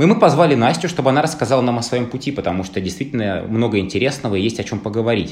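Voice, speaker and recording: Speaking very fast with hardly any pauses, a man uses lively intonation at a medium pitch. Noticeable background noise and audible room echo fill the recording. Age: 30s. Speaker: podcast host. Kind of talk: casual chat.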